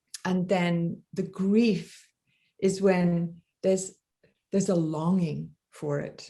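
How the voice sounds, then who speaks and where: A woman with an English accent speaks very slowly in a fairly low pitch with monotone, flat intonation. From England. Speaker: death doula teacher. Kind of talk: interview. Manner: halting.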